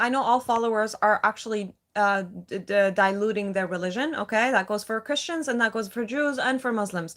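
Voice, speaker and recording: Fairly high in pitch, a woman talks at a fairly quick pace with a non-native accent. The recording is very clean, with a silent background. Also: hardly any pauses. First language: not English. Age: 30s. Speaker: live streamer. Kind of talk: casual chat. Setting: livestream.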